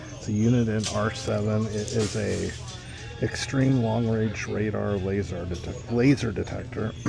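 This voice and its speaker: Clear music plays in the background as a man talks. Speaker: eBay reseller thrifting. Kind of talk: casual vlog chat. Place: shop. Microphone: phone near.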